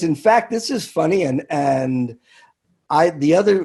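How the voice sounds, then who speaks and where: This man has a dark, mellow tone and an American accent. His intonation is lively. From US Northeast, New York City. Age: 70s. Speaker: bartender and podcast host. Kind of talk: casual chat. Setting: office at a comedy club. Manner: halting.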